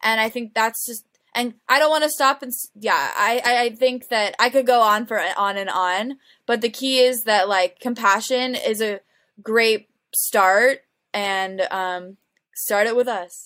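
A woman speaks at a fairly slow pace in a bright, sharp tone, her pitch fairly high with ordinary variation, on a very clean recording with a silent background. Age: 20s. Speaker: nonprofit network coordinator. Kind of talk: casual chat. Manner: halting.

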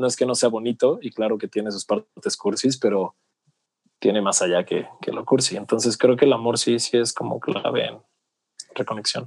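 At a moderate pace, a man speaks at medium pitch in an ordinary speaking voice, with a dry, close sound and no echo. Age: 30s. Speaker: personal development coach. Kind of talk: casual interview chat.

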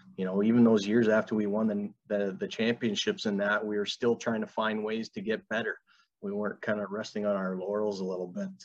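A man speaks fairly quickly with an Ontario accent. His fairly low voice stays monotone and flat. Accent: Canadian (Ontario). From Canada, Fort Erie, Ontario. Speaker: college hockey coach. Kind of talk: interview.

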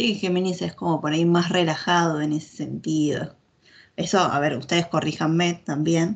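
A woman's ordinary speaking voice, fairly low in pitch, at a moderate pace with fairly even intonation. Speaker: podcast co-host.

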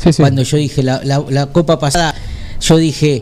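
Speaking at a fairly slow pace with a fairly high pitch, a man is heard over noticeable background noise. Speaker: radio co-host, football fan. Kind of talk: casual chat about football.

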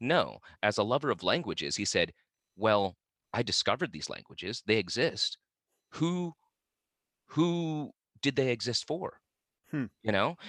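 On a very clean recording with a silent background, a man with a Midwestern accent speaks at medium pitch and a fairly slow pace, his pitch swinging very widely between long, frequent pauses. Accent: General American (Midwest). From Vietnam-born, raised in western Kansas. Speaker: actor, musician and wellness speaker. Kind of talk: casual interview chat.

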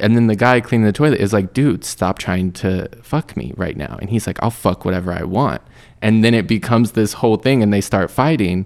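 In a very clean recording with a silent background, a man with an unremarkable speaking voice talks at a fairly low pitch and a fairly quick pace, with ordinary pitch variation. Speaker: podcast host. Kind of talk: casual chat.

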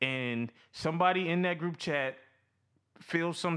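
In a very clean recording with a silent background, a man speaks fairly slowly in a bright, sharp tone. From Louisiana. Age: 20s. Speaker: podcast co-host. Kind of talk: casual chat.

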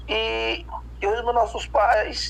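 A man talks over noticeable background noise. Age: 40s. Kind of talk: interview. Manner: hesitant, many fillers.

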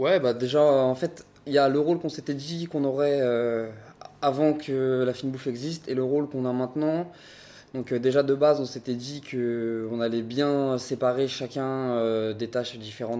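A man at a medium pitch and moderate pace, dark and mellow in tone, with fairly even intonation. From Paris, France. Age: 20s. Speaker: restaurant co-owner. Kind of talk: interview.

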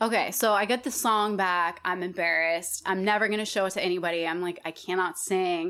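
An American accent marks this woman's plain, everyday voice, with fairly even intonation and a fairly quick pace. She leaves hardly any pauses, and the recording is very clean with a silent background. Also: medium pitch for a woman. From Colorado and Wyoming, US. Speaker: singer and musician. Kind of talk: casual interview chat.

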